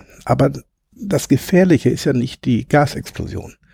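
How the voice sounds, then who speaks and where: Dry and close with no echo, a man's somewhat breathy, dark, mellow voice swings very widely in pitch at a moderate pace. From Ruhr area, Hamm (Westphalia). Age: 50s. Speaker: former coal miner, now train driver. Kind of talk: casual interview.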